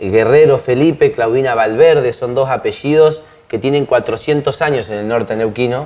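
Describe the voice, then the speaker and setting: Medium in pitch, a man speaks at a moderate pace with ordinary pitch variation. His is an unremarkable speaking voice. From Argentina, northern Neuquén. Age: 30s. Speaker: lawyer and political candidate. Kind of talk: interview.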